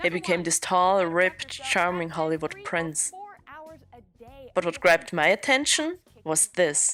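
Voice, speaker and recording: A woman's fairly low, bright, sharp voice with a non-native accent, ordinary pitch variation, a fairly slow pace and long, frequent pauses. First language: not English. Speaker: podcast host. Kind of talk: scripted narration.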